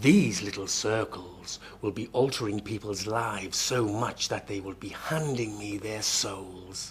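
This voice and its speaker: A man speaks in a put-on character voice, fairly low in pitch, at a fairly slow pace with hardly any pauses over clear background noise. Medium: short film. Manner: calm, understated, dry.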